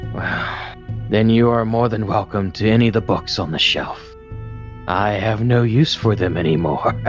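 Clear music plays behind a man whose fairly low voice moves at a moderate pace. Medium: actual play. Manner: weary, resigned, apologetic.

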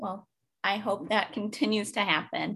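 Against a quiet background, a woman uses a normal speaking voice at a medium pitch and a moderate pace. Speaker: podcast host. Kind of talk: casual interview.

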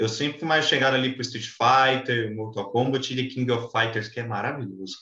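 A man with an ordinary speaking voice talks at a moderate pace and medium pitch, with hardly any pauses and big swings in loudness. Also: fairly even intonation. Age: 20s. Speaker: podcast host. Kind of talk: casual chat.

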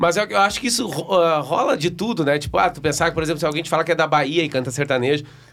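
With a southern Brazilian accent, a man talks at a very fast pace in a fairly high voice, his intonation lively and hardly any pauses between words. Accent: gaúcho Brazilian Portuguese. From Rio Grande do Sul, Brazil (Novo Hamburgo area). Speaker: sertanejo singer. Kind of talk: casual chat.

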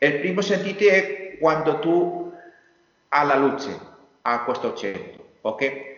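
A man with a Spanish accent speaks at a very slow pace in a fairly high voice, his lively intonation broken by long, frequent pauses amid audible room echo. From Spain, Valencia area. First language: Spanish (speaking Italian). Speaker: industrial designer. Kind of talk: interview. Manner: halting.

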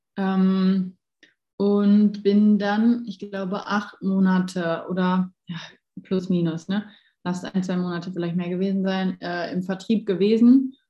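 A woman speaks at a very slow pace and medium pitch. Her voice is somewhat breathy, with monotone, flat intonation. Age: 20s. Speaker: life coach. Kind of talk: casual chat.

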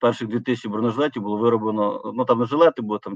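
The man's voice sits at a medium pitch. His intonation stays fairly even. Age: 40s. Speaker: company founder. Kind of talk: interview. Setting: remote call. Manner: halting.

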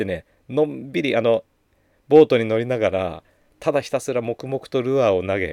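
Very clean, dry and close with no echo over a silent background, a man talks fairly quickly at medium pitch with vocal fry and very wide pitch swings. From Japan, Gunma (Takasaki). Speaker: spiritual podcast host. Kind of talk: casual monologue.

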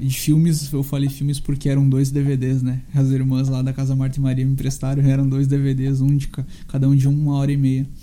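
Fairly quick and flat in a monotone, a man's fairly high voice carries audible room echo. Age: 20s. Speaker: podcaster and musician. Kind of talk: solo monologue.

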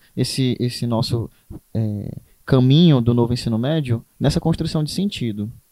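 At a moderate pace, a man with a medium pitch speaks in an unremarkable speaking voice, with a dry, close sound and no echo. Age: 20s. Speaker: teacher. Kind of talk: casual chat.

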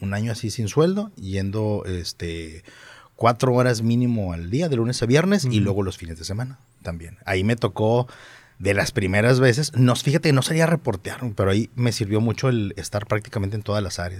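A man's fairly low voice in a Monterrey accent, fairly quick in pace with lively intonation. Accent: Monterrey (regio). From Monterrey, Mexico. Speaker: reporter. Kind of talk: interview. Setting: studio.

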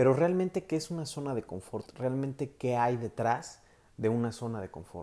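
The tone is dark and mellow, with a Mexican accent and lively intonation. The pace is moderate. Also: man, medium pitch for a man. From Mexico. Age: 20s. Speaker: psychologist and life coach. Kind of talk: solo podcast talk. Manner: halting with filler words.

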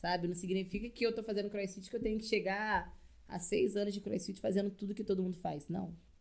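A woman's medium-pitched voice, flat and monotone, at a fairly quick pace. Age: 20s. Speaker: CrossFit coach. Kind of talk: casual chat.

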